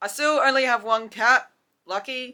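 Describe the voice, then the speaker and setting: Speaking at a fairly slow pace with ordinary pitch variation, a woman with an Australian accent has a bright, sharp tone in a very clean recording with a silent background. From South Australia. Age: 20s. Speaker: YouTuber. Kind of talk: casual chat. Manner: casual, filler-heavy.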